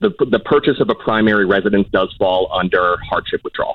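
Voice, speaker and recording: A plain, everyday voice: a man at a fairly low pitch, with ordinary pitch variation and an American accent. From Southern California. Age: 30s. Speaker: caller. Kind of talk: call-in advice conversation. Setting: phone call.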